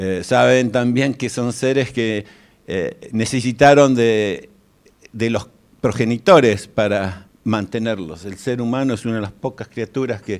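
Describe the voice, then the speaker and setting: A man with a Rioplatense accent, medium pitch, ordinary pitch variation and a fairly slow pace. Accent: Argentine Rioplatense Spanish. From Argentina, Buenos Aires. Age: 60s. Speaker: guest lecturer. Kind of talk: lecture. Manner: halting.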